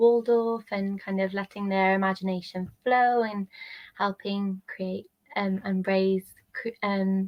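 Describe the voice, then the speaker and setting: Speaking at a medium pitch, a woman talks in a Welsh accent. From Wales. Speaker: travel nanny and maternity nurse. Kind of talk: casual interview. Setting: live stream on social media. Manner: calm.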